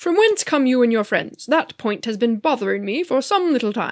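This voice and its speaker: A woman puts on a character voice pitched high. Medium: read story. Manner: formal, regal.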